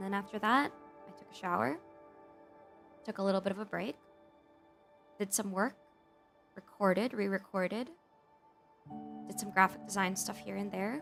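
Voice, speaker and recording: Music plays in the background as a woman speaks at a moderate pace, with long, frequent pauses and big swings in loudness. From Philippines. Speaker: VTuber and digital artist. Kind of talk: casual talk to camera, ASMR stream.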